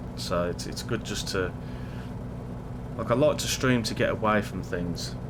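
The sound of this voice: A man's fairly low voice with ordinary pitch variation at a fairly slow pace, clear background noise behind it.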